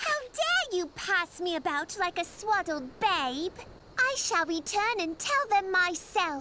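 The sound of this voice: Putting on a character voice, a woman speaks slowly at an extremely high pitch, with big pitch swings and a bright, sharp tone.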